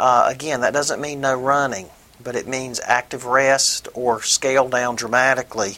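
At a medium pitch, a man talks in a monotone, flat intonation. His pace is moderate. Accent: Southern US. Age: 50s. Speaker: podcast host, recreational runner. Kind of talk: solo podcast monologue. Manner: halting, many fillers.

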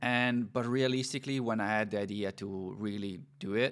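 The speaker has an Italian accent. Their intonation stays fairly even. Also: man, very clean recording, silent background. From northern Italy, near Milan. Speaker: podcast host, immigrant. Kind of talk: interview podcast.

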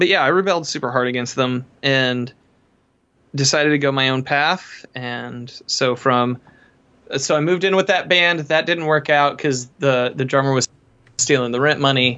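With a normal speaking voice and an American accent, a man talks at a fairly slow pace with fairly even intonation. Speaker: musician. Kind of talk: casual interview chat.

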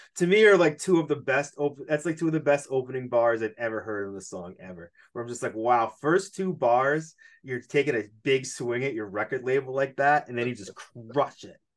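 At a fairly quick pace, an ordinary speaking voice carries lively intonation and big swings in loudness. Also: man, medium pitch for a man. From Boston. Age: 40s. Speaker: podcast host and hip-hop producer. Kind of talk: casual interview.

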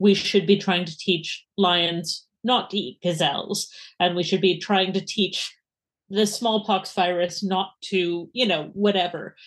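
Speaking at a fairly slow pace, a woman with a slight Canadian accent keeps a medium pitch and fairly even intonation. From Canada. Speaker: university lecturer in science and religion. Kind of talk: casual interview conversation. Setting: video call.

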